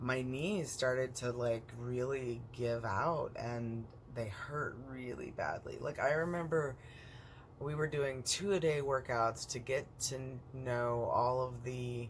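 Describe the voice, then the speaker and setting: A man talks at a very slow pace in a somewhat breathy voice. His pitch is medium, with ordinary pitch variation. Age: 40s. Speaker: vlogger with chronic illness. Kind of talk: personal vlog monologue. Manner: hesitant, many fillers.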